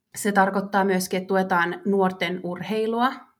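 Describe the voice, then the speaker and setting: In a very clean recording with a silent background, a woman with a normal speaking voice talks at a medium pitch and a fairly slow pace. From Finland, Vaasa. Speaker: marketing manager. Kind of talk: interview.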